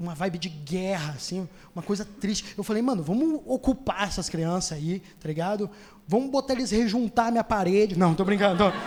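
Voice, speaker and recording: A man with a high voice, a fairly quick pace, ordinary pitch variation and noticeable background noise. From Rio Grande do Sul, Brazil. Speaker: stand-up comedian. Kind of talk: stand-up comedy set. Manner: casual, fast.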